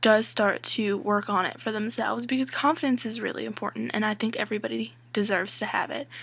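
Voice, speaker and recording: Against a silent background in a very clean recording, a woman speaks at a moderate pace with a fairly high pitch. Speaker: vlogger. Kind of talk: casual vlog monologue. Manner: loud.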